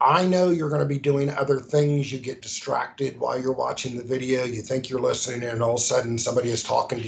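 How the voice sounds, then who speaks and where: Over noticeable background noise, a man speaks at medium pitch with ordinary pitch variation. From US South, Charleston. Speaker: hazmat safety trainer. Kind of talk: recorded training lecture. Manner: casual, frequent fillers and restarts.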